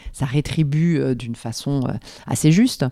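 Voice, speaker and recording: Very deep and low, a woman's voice moves at a very slow pace. Her intonation stays fairly even. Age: 50s. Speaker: business growth consultant. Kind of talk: interview conversation. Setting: at the guest's home. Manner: halting, many repetitions and fillers.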